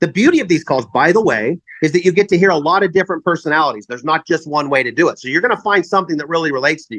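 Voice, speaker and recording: Loud and very fast, a man talks in a high voice with lively intonation. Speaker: network marketing leader. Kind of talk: sales pitch.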